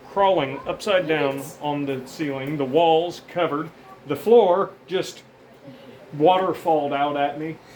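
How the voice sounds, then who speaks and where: With noticeable background noise, a man speaks at a fairly high pitch and ordinary pitch variation. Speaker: pest control worker. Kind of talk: casual talk to camera. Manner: fast, disorganized, energetic.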